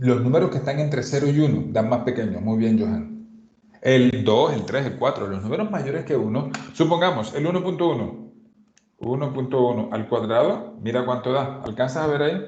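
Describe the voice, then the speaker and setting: A man at a medium pitch talks with lively intonation, and the room echo is audible. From Colombian Caribbean coast. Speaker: math teacher. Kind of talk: lecture. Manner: fast.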